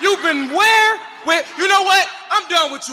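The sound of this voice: Shouting in a put-on character voice, a man speaks at an extremely high pitch in a bright, sharp tone, with lively intonation, a moderate pace, and faint background noise.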